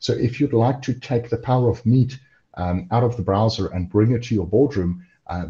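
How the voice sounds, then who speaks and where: Somewhat breathy and dark, mellow in tone, the voice holds a moderate pace with ordinary pitch variation against a quiet background. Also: man. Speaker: cloud software engineer. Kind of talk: webinar presentation. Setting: online webinar video call. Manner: lots of fillers (um, uh).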